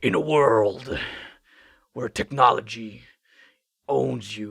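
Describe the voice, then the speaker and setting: A man puts on a raspy character voice at a medium pitch. He speaks very slowly. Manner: grandiose, epic.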